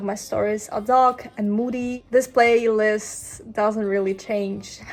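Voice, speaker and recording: With a non-native accent, a woman speaks very slowly in a fairly high, monotone voice, hardly pausing at all. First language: not English. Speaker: filmmaker and screenwriter vlogger. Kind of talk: casual vlog narration.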